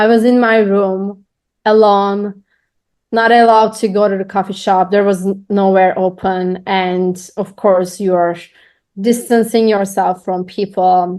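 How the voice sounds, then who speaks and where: A woman speaks at a medium pitch and a fairly slow pace in a flat monotone, against a quiet background. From Turkey. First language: Turkish. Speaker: podcaster, business owner. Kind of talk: interview.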